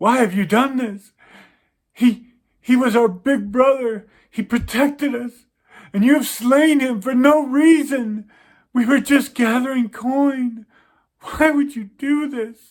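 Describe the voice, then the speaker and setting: A man's put-on character voice, extremely high and fairly slow, broken by long, frequent pauses. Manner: mournful, accusing.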